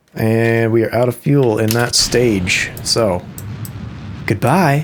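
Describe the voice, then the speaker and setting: Over noticeable background noise, a man talks at a very slow pace with a medium pitch, ordinary pitch variation and very even loudness. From US Midwest. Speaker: musician and gamer. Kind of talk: casual gameplay commentary. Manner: casual, with filler words.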